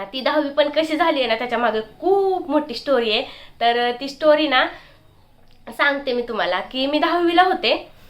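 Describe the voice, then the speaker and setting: Her high pitch and lively intonation mark this woman's speech. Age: 20s. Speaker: vlogger. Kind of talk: casual vlog talk.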